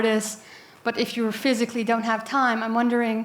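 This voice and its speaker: At a moderate speed and a fairly high pitch, this woman talks in an unremarkable speaking voice. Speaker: audience member, data steward. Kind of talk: audience question.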